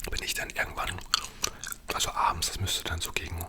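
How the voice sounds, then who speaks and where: Someone whispers at a fairly quick pace. Background noise is noticeable. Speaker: ASMR creator. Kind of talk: storytelling. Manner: whispered.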